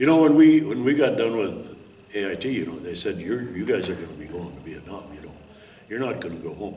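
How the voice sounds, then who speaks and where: A man with an Upper Midwest US accent at a fairly quick pace, with very wide pitch swings, audible room echo and noticeable background noise. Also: fairly low pitch for a man. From Minnesota. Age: 70s. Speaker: war veteran. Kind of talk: interview testimony. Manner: halting.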